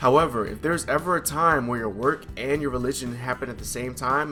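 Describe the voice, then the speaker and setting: Music plays in the background as a man of medium pitch talks at a fairly quick pace with ordinary pitch variation. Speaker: Air Force service member. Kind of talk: casual talk to camera.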